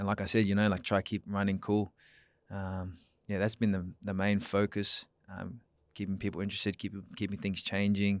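Man with an Australian accent, fairly low pitch and monotone, flat intonation at a moderate pace, in a dry, close sound with no echo on a very clean recording with a silent background. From Perth, Western Australia. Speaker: run club founder and FIFO worker. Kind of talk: casual chat. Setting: studio.

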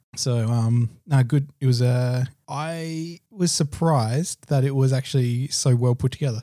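Recorded very cleanly against a silent background, a man with an Australian accent speaks at medium pitch. His tone is dark and mellow, his intonation fairly even. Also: fairly slow pace, hardly any pauses. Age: 30s. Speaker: podcast co-host. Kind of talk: casual chat.

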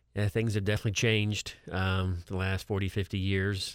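In a very clean recording with a silent background, a man's very deep, low voice holds a monotone, flat intonation. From Florida, Brooksville. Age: 50s. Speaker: certified public accountant, financial advisor. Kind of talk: radio talk show discussion. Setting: studio.

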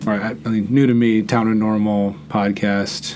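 A man talks at a moderate pace with a fairly low pitch. Audible room echo surrounds his voice. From Netherlands. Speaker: podcast host. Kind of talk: casual interview; sponsor read. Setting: studio.

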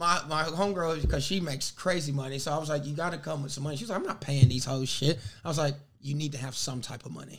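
A very fast male voice, fairly high in pitch, with vocal fry and ordinary pitch variation. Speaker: podcast host. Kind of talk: casual comedic chat. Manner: joking, animated.

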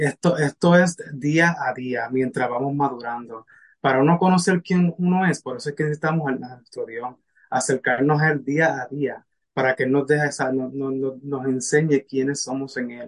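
The speech moves at a moderate pace with ordinary pitch variation. It is a normal speaking voice. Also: man, fairly high pitch for a man. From Puerto Rico. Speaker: spiritual mentor and medical interpreter. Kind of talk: casual interview.

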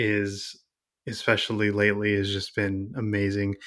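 The recording is very clean, with a silent background. A man speaks at a fairly low pitch in a bright, sharp tone. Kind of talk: casual interview chat.

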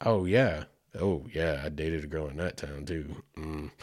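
A man with an Oklahoma accent is heard on a very clean recording with a silent background. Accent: Southern US (Oklahoma). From US South, Oklahoma. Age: 40s. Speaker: podcast host. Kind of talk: casual solo podcast monologue.

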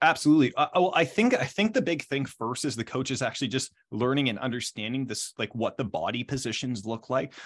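A man at medium pitch races along at a very fast pace with lively intonation and hardly any pauses. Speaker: volleyball strength and jump coach. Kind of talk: interview. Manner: animated.

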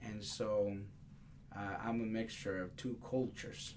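The intonation stays fairly even at a moderate pace. Noticeable background noise and audible room echo surround the voice. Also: man. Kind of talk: interview conversation. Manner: halting, many fillers.

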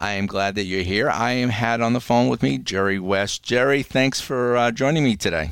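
An unremarkable speaking voice, a man's at medium pitch, keeps a moderate pace with hardly any pauses and ordinary pitch variation. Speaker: podcast host. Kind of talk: casual interview.

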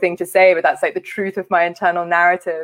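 At a very fast pace, a woman with a London accent talks in monotone, flat intonation, with a dry, close sound and no echo. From West London. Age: 30s. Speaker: charity leader. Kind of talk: conference talk.

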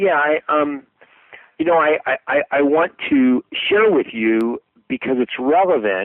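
In an American accent, a man with a fairly high voice talks at a very slow pace, his intonation lively and his loudness very even. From United States. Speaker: sales trainer. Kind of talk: interview. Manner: halting, repeating words.

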